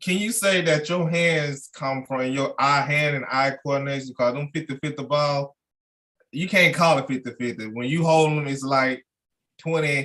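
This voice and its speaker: This man has a fairly high pitch and speaks with a Mississippi accent. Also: ordinary pitch variation, moderate pace. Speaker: podcast host. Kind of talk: casual interview.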